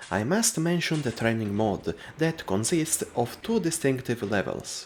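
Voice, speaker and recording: In a very clean recording with a silent background, a man with a non-native accent talks at a moderate pace and medium pitch, making very wide pitch swings. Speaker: video game reviewer. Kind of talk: scripted narration.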